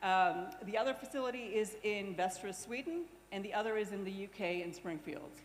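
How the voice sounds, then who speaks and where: A woman talks at a fairly quick pace with a medium pitch and lively intonation. Audible room echo surrounds her. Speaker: nuclear industry company representative. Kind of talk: conference presentation. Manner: fast.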